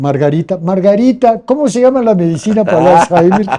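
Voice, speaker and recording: A man with a Mexican accent and a dark, mellow tone, speaking at a moderate pace with lively intonation. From Mexico City. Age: 70s. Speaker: cultural heritage keeper. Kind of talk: interview conversation. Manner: halting.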